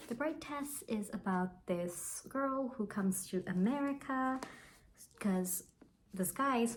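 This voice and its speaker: A woman talks at a fairly slow pace in a somewhat breathy voice. Her pitch varies in an ordinary way. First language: Bengali. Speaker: book vlogger. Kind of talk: casual book review vlog. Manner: casual, with fillers and false starts.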